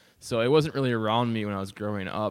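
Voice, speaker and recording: Fairly quick speech from a man with an Upper Midwest accent, fairly low in pitch, with ordinary pitch variation. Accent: Upper Midwest American. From northern Wisconsin (Phelps). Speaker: recovering addict, former burglar. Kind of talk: podcast interview, personal story. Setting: podcast studio with microphone. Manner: hesitant, many fillers.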